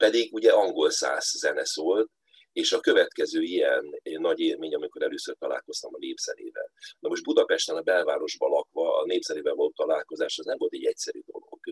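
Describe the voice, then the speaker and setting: Pitched extremely high, a man talks at a fairly quick pace with ordinary pitch variation, the sound dry and close with no echo. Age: 60s. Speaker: folk musician and space scientist. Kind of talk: interview.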